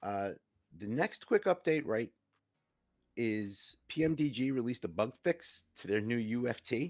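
A man with a New York accent speaks at a fairly slow pace with lively intonation and long, frequent pauses. The recording is very clean, with a silent background. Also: medium pitch for a man. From New York, Queens. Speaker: co-host, retired EMT. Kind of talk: casual chat.

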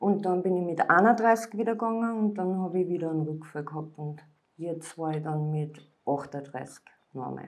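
Ordinary pitch variation at a moderate pace, in a room with audible echo. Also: woman, fairly low pitch for a woman. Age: 40s. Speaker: former drug addict. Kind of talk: interview testimony.

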